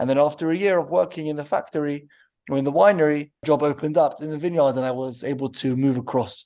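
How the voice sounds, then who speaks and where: Speaking very fast with a London accent, a man uses a fairly high pitch, a dark, mellow tone and fairly even intonation against a quiet background. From London, England. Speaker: winery co-owner. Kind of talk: interview answers.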